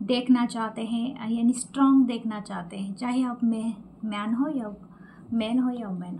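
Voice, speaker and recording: Soft-spoken, a woman talks at a high pitch. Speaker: tarot reader. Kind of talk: tarot reading.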